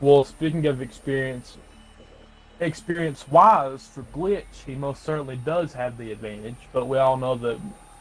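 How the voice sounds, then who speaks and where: A man's medium-pitched voice with ordinary pitch variation over noticeable background noise. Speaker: esports commentator. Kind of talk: live commentary. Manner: halting.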